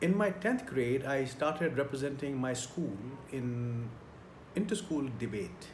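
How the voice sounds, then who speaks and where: Amid noticeable background noise and audible room echo, a man with a fairly high pitch talks fairly slowly with lively intonation. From India. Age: 60s. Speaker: career trainer. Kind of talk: tutorial.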